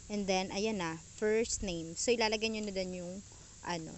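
Audible room echo follows a woman as she speaks at a moderate pace. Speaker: YouTuber. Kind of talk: tutorial. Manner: casual.

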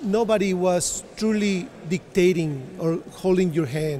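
A man talks in a high-pitched voice. Light background noise can be heard. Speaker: interviewee. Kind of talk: interview answer. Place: hall. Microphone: handheld.

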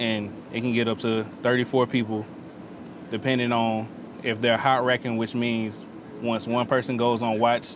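With a Memphis accent, a man speaks in a monotone, flat intonation at a moderate pace and medium pitch, the sound dry with no echo but with noticeable background noise. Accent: Southern US (Memphis). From US South (Memphis, Tennessee); Tennessee. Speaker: navy sailor, culinary specialist. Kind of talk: interview and tour. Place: boat. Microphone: lapel.

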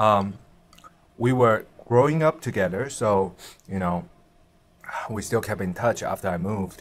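At a fairly slow pace, a man talks with a fairly low pitch and ordinary pitch variation. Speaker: food vlogger. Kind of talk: casual vlog chat, storytelling while eating. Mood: relaxed, telling ghost story. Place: home room.

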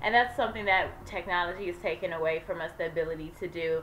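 This woman talks at a fairly quick pace. Her intonation is fairly even. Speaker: vlogger. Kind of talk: casual vlog chat. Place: home room. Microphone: webcam.

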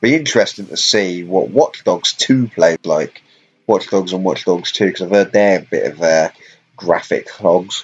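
A man speaks with a British accent at a moderate pace. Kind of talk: casual gaming stream commentary. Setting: live stream while playing on laptop. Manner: casual, hesitant with fillers.

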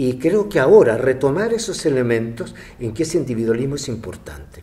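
Very wide pitch swings mark a man's speech, which moves at a fairly slow pace. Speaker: interviewee. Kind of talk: interview answer. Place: hall.

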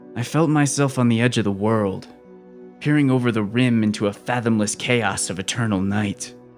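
With music in the background, a man speaks in a dramatic tone at medium pitch with ordinary pitch variation. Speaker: horror audiobook narrator. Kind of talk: dramatic horror audiobook narration.

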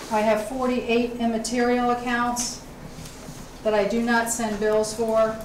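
A woman talks at a fairly slow pace. Light background noise and audible room echo surround her voice. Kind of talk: formal report at a public meeting. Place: meeting room.

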